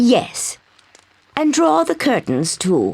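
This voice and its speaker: Using a put-on character voice, a woman sounds raspy at a fairly high pitch with very wide pitch swings. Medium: video game. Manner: soft, genteel.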